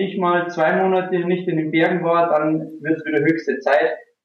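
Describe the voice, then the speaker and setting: This man has a high-pitched voice and keeps a moderate pace. There is audible room echo. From rural Bavaria, Germany. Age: 30s. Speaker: online marketing entrepreneur. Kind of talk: casual interview.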